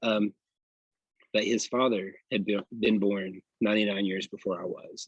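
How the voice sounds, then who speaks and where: Dry, close sound with no echo, a man's fairly low voice in a Tennessee accent, monotone, flat intonation, moderate pace, and long, frequent pauses. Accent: Southern US (Tennessee). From US South, Polk County, Tennessee. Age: 40s. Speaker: barber. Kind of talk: interview conversation. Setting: outdoors in a park. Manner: halting.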